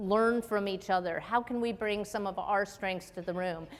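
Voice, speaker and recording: Her voice a normal speaking voice, a woman with an American accent talks at a medium pitch with fairly even intonation. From US Midwest, Chicago area. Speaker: military officer and physician. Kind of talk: keynote speech.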